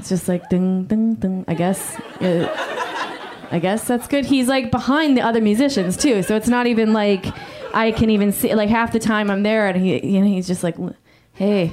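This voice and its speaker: Her pace is moderate as a woman speaks in a fairly high pitch with ordinary pitch variation. Noticeable background noise can be heard. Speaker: stand-up comedian. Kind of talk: stand-up comedy. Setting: stage with audience.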